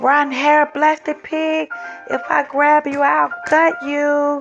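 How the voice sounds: Putting on a character voice, a woman speaks slowly at a high pitch with vocal fry, a fairly bright tone and little pitch movement, while faint music plays in the background.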